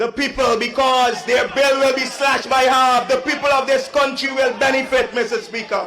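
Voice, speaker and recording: A raised, projected voice at a moderate pace over noticeable background noise. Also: man. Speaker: member of parliament. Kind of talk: parliamentary speech. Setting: parliament chamber.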